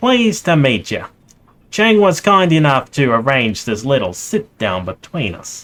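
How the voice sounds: A man does a put-on character voice, fairly high and nasal. He moves at a moderate pace with very wide pitch swings.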